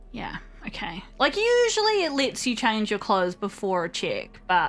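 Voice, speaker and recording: Music in the background behind a woman's moderate-paced speech. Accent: New Zealand. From New Zealand. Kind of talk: casual let's play commentary.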